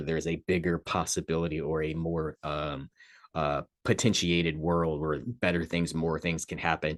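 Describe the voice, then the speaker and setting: With a very deep, low pitch and monotone, flat intonation, a man speaks at a moderate pace, the sound dry and close with no echo against a quiet background. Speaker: astrology presenter and crystal shop owner. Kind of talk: casual talk-to-camera astrology report. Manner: many fillers and hesitations.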